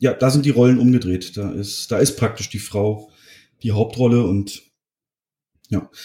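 A man with a medium pitch and a dark, mellow, somewhat breathy tone talks at a moderate pace with fairly even intonation and long, frequent pauses. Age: 30s. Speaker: film podcaster. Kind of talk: casual chat; film plot summary.

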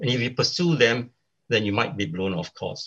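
A man's voice is somewhat breathy and sits at medium pitch. His intonation is lively. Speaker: commentator on leadership. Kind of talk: panel discussion. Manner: hesitant, many fillers.

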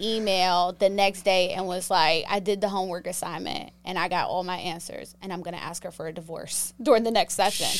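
In a very clean recording with a silent background, a woman with a plain, everyday voice speaks at a fairly quick pace and medium pitch, with ordinary pitch variation and big swings in loudness. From Pittsburgh, Pennsylvania. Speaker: sex therapist. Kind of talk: casual chat.

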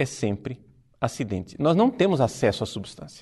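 Using very wide pitch swings, a man speaks in a dark, mellow tone touched with vocal fry. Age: 40s. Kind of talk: religious teaching talk. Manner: formal.

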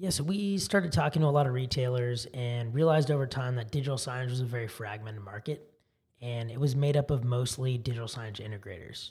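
A somewhat breathy man's voice at medium pitch with an American accent, ordinary pitch variation and a very fast pace. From California, Silicon Valley. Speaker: tech startup founder. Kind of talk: interview.

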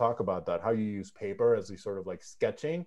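This man talks very fast in a dark, mellow tone. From Mexico. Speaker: podcast host. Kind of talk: interview conversation. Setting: video call.

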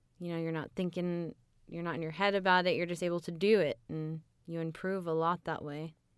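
A woman's fairly low voice in a flat monotone, at a fairly quick pace, on a very clean recording with a silent background. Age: 20s. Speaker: audiobook narrator and actress. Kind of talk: casual interview chat. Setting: studio.

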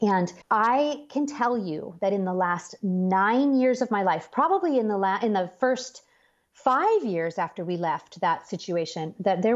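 A woman with a plain, everyday voice, medium pitch and lively intonation at a fairly slow pace, quiet background. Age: 40s. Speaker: author and speaker. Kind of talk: interview about faith.

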